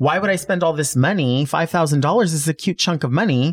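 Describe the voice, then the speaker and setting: A man speaks at a fairly quick pace in a normal speaking voice, fairly high in pitch with ordinary variation. The recording is very clean, with a silent background. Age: 40s. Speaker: drag queen and wig stylist. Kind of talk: casual interview chat.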